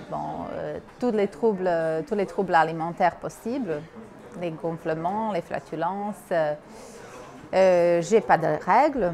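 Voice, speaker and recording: Someone speaks at a very slow pace with ordinary pitch variation over noticeable background noise. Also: woman. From Bosnia. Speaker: university worker. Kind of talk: interview testimony.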